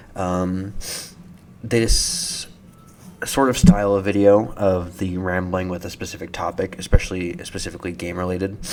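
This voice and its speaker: A man with a very deep, low voice speaks with big swings in loudness over noticeable background noise. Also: moderate pace. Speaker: gaming commentary youtuber. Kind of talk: casual game commentary.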